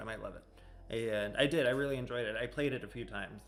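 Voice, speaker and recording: Audible room echo surrounds the voice. A man speaks at a fairly quick pace. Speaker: music reaction video host. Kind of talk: casual reaction video talk. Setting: home music room. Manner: animated; loud.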